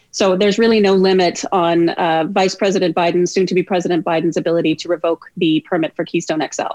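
Rushing at a very fast pace with hardly any pauses, a woman speaks with fairly even intonation. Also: fairly low pitch for a woman, dry, close sound with no echo. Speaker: law professor. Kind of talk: radio interview.

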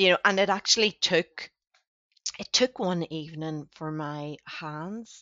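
A woman with an ordinary speaking voice talks at a fairly slow pace and fairly low pitch. Her loudness swings widely while her pitch varies in an ordinary way. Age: 40s. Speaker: financial educator and coach. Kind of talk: casual conversation.

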